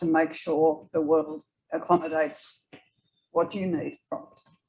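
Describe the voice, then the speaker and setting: A woman speaks with an Australian accent. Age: 80s+. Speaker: author. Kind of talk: audience Q&A at author talk. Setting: library event with audience.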